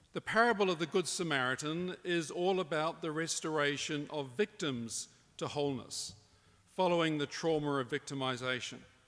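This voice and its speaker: With a New Zealand accent, a man speaks at a moderate pace. His pitch is fairly high and varies in an ordinary way. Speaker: professor. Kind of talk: conference talk. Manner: formal.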